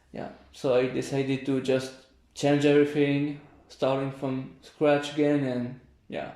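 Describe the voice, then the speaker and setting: A man with a fairly high pitch and a dark, mellow tone speaks in a monotone, flat intonation. Long, frequent pauses break up his speech, and room echo is audible. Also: fairly slow pace. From France, near Paris. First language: French. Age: 20s. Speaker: volunteer. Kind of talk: interview. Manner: halting.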